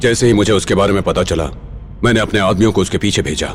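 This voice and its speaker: Amid clear background noise, a man does a put-on character voice at a fairly low pitch and a very fast pace. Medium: fan dub. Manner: measured, knowing.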